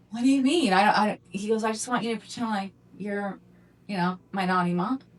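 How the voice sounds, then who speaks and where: Over noticeable background noise, a woman with a medium-pitched voice speaks at a fairly quick pace. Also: ordinary pitch variation. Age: 50s. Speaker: adult film performer and podcast co-host. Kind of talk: casual chat.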